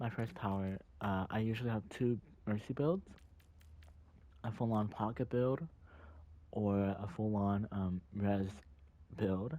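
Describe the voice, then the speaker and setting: Fairly low in pitch with a dark, mellow tone, a man speaks at a fairly slow pace with ordinary pitch variation. His loudness is very even, and he takes long, frequent pauses. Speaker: gamer. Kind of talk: game tutorial voice-over. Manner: hesitant, many fillers.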